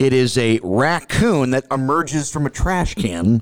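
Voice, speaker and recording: In a very clean recording with a silent background, a man with an American accent speaks in a plain, everyday voice at a medium pitch, his intonation lively. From St. Louis, Missouri. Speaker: sports reporter and podcast co-host. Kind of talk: casual sports chat.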